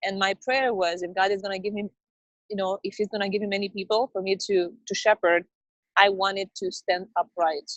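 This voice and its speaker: Spoken at a fairly quick pace with fairly even intonation, the voice carries a non-native accent. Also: woman, medium pitch for a woman. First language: not English. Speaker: network marketing business owner. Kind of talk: interview. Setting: video call, outdoors in the rain. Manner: halting.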